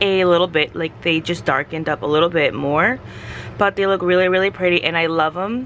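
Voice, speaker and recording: This woman has a plain, everyday voice, fairly low in pitch, with ordinary pitch variation. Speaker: craft youtuber. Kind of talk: tutorial. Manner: casual.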